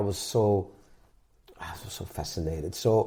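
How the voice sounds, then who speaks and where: A man with a Dutch accent and lively intonation. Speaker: musician and podcast host. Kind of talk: interview.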